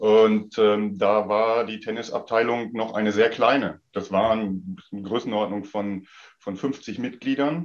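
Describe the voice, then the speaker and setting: Medium-pitched male speech at a fairly slow pace, with ordinary pitch variation. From Sauerland, western Germany. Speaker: tennis club official. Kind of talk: casual chat. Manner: halting.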